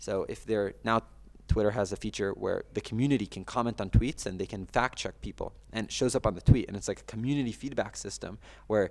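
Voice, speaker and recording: The man speaks at a very fast pace with a medium pitch. There is vocal fry, and his pitch variation is ordinary. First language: Russian. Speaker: yeshiva student and news account manager. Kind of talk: podcast interview. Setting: podcast. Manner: hesitant, with frequent fillers and restarts.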